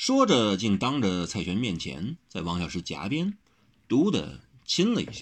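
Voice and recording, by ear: The clip is read aloud. It's delivered in a natural voice.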